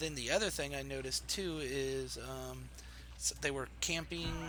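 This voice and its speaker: In a room with audible echo, a man speaks softly. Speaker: video game streamer. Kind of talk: casual chat. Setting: live stream. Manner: soft-spoken. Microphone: quiet, voice turned up.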